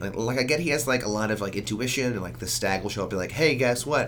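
A man is heard through noticeable background noise and audible room echo. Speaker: podcast co-host. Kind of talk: casual chat.

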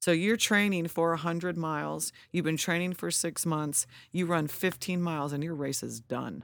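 A woman with an American accent has a normal speaking voice, fairly low in pitch, with fairly even intonation. She speaks at a moderate pace in a very clean recording with a silent background. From California (Lodi). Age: 40s. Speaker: ultra runner. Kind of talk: casual chat.

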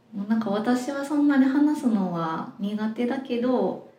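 In a Kansai accent, a woman with high pitch talks at a very slow pace with lively intonation, and audible room echo surrounds her. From Osaka, Japan. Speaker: web director. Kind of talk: casual interview chat.

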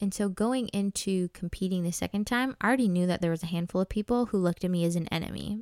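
A woman's medium-pitched, animated voice with an American accent, ordinary pitch variation and a very fast pace, on a very clean recording with a silent background. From Minnesota, US. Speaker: podcast host, former pageant contestant. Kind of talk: solo personal storytelling podcast.

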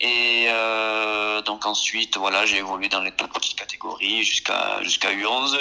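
This man talks at a fairly slow pace, his pitch at a medium level. Background noise is noticeable throughout. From France, Marseille. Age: 20s. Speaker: youth football coach. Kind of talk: podcast interview.

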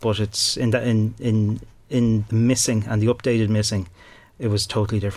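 A man with a Dublin accent talks at a fairly quick pace in a fairly low pitch. His intonation is flat and monotone, and his loudness stays very even. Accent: Dublin Irish. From Ireland, Dublin. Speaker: crime journalist and author. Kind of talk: interview. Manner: halting, many fillers and repeated words.

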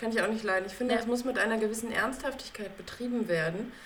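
Noticeable background noise and audible room echo surround this woman's voice. Her pitch is fairly high, with ordinary variation. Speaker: podcast co-host. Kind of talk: casual chat.

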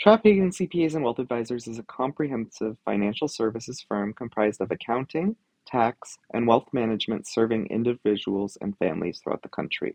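With lively intonation and hardly any pauses, a man at medium pitch talks at a fairly quick pace in a plain, everyday voice. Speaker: podcast host. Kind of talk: panel discussion, moderated. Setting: live at conference.

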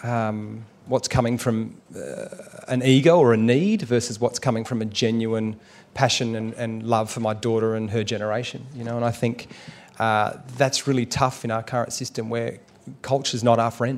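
With an Australian accent, a man talks at a moderate pace in a medium pitch, his intonation monotone and flat. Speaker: actor and documentary maker. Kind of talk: live on-stage conversation. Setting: stage with audience at a writers festival.

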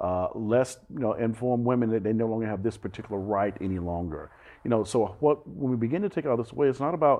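A man with an American accent races along at a very fast pace with lively intonation. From US South, Alabama. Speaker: pastor. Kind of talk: interview conversation.

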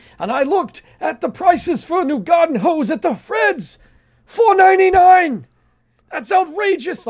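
A man's loud, put-on character voice, extremely high in pitch, at a fairly slow pace. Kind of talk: small-town, folksy. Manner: loud, indignant, ranting.

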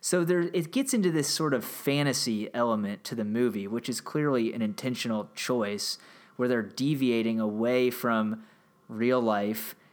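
A man speaks at a moderate pace in a normal speaking voice, his pitch sitting in the medium range. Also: ordinary pitch variation, very clean recording, silent background. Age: 30s. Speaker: history podcast host. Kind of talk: solo commentary monologue. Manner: casual with frequent fillers.

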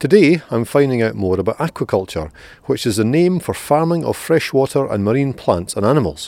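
A man speaks in a Scottish accent at a fairly quick pace and medium pitch. His dark, mellow tone moves through very wide pitch swings. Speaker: podcast host. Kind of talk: interview. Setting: outdoors.

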